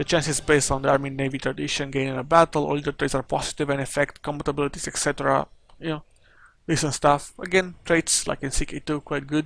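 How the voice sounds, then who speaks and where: In a very clean recording with a silent background, a man with a Romanian accent talks at a very fast pace in a fairly high, monotone, flat voice. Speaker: gaming YouTuber. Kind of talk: game patch review commentary. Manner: halting, many fillers.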